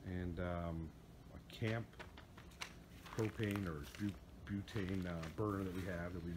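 Over noticeable background noise, a man with a very deep, low pitch talks at a fairly slow pace with ordinary pitch variation. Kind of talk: casual vlog chat. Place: garden. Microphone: phone near.

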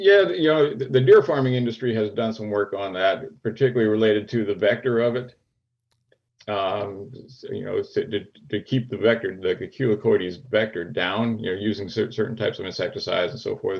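Somewhat breathy, at a fairly quick pace, with an American accent. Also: man, ordinary pitch variation. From US Northeast (Pennsylvania). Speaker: wildlife biologist and deer researcher; guest. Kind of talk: interview. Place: home room. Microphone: video call.

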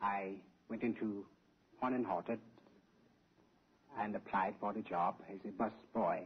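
A man with an American accent, fairly low and monotone, at a moderate pace with long, frequent pauses over light background noise. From Illinois, US. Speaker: game show contestant. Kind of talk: interview on quiz show. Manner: formal. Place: studio. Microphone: old recording.

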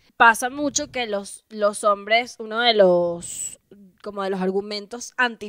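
A woman with a Venezuelan accent, fairly slow, ordinary pitch variation, dry sound with no echo. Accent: Venezuelan Spanish, drops final s. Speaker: comedian and podcast co-host, former radio presenter; comedian, podcast co-host, radio presenter. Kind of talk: casual chat. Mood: playful, joking. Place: home room. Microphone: handheld.

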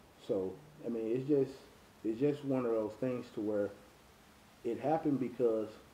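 There is audible room echo and light background noise as a man, in a dark, mellow tone, speaks at a moderate pace with ordinary pitch variation. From Texas, North Dallas; Texas. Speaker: race promoter. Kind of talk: interview. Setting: at home. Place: home room.

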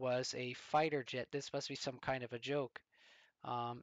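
Plain reading aloud with fairly even intonation. The background is quiet.

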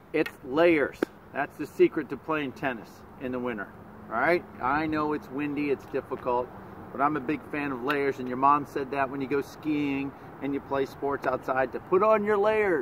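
Noticeable background noise can be heard. Under it, a man keeps to a moderate speed. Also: ordinary pitch variation, dry sound with no echo. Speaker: tennis coach. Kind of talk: casual tutorial vlog. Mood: jokey, upbeat. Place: stadium. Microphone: phone near.

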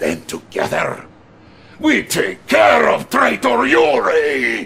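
In a put-on character voice, a man shouts at a slow pace with a high pitch, very wide pitch swings, vocal fry, a husky, rough edge and a fairly bright tone.

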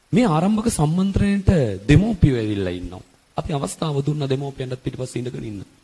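A man with a fairly high pitch and a dark, mellow, somewhat breathy tone talks at a moderate pace. His pitch swings very widely and his loudness shifts a lot. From Sri Lanka. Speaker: A/L accounting tutor; accounting tutor. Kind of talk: motivational talk to parents; advice talk to parents. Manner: repetitive, earnest. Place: classroom. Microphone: handheld.

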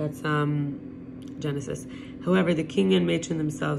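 A woman talks at a very fast pace with a very deep, low pitch. Noticeable background noise sits behind her. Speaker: reader of religious text. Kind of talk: reading aloud of scripture with brief asides. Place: home room. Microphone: phone near.

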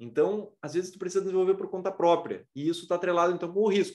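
Against a quiet background, a man with a southern Brazilian accent talks very fast in a high voice. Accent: southern Brazilian (gaúcho) Portuguese. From Rio Grande do Sul, Brazil. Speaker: aerospace engineering professor. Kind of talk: lecture. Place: home room. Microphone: webcam.

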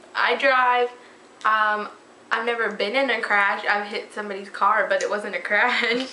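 Fairly high and monotone, a woman's flat delivery comes with audible room echo and light background noise. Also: fairly slow pace. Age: 20s. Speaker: fashion vlogger; vlogger. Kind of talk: casual chat. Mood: playful, laughing. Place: home room. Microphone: webcam.

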